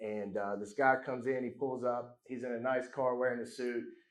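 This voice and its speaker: Amid audible room echo, a man talks at a fairly quick pace with monotone, flat intonation. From Alabama. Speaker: real estate investor. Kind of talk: panel talk at event.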